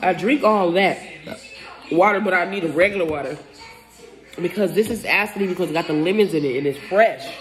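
A woman at a fairly quick pace over faint music in the background. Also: ordinary pitch variation. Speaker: food vlogger. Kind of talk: casual mukbang vlog chat. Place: home room. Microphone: phone near.

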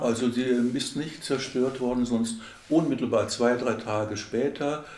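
A fairly slow male voice with ordinary pitch variation and audible room echo. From Schwerte, Germany. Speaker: oral history interviewee. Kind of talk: oral history interview answer. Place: home room.

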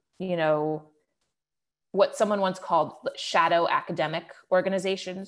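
Moderate pace, ordinary pitch variation, in an American accent. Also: woman. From Cleveland, Ohio; Ohio. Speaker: political journalist. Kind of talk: webinar interview. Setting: online webinar. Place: home room. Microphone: earbuds.

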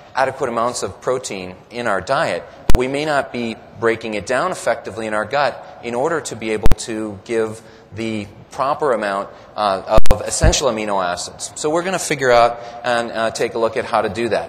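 A man talking at a fairly quick pace with ordinary pitch variation, over noticeable background noise. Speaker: presenter. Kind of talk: lecture. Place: hall. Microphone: podium.

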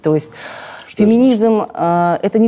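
A woman's dark, mellow tone carries lively intonation. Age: 40s. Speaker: cosmetologist and blogger; blogger. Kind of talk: interview. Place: studio. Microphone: lapel.

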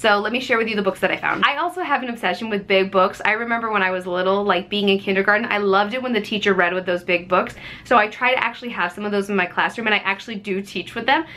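At a very fast pace with hardly any pauses, a woman speaks with ordinary pitch variation. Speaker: thrift haul vlogger, teacher. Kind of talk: casual vlog chat. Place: home room. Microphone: phone near.

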